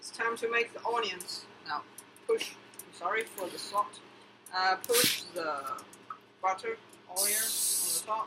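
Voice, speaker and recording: The speaker goes at a fairly slow pace with long, frequent pauses, over noticeable background noise. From China. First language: Chinese. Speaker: cooking vlogger. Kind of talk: casual cooking vlog. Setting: home kitchen. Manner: animated.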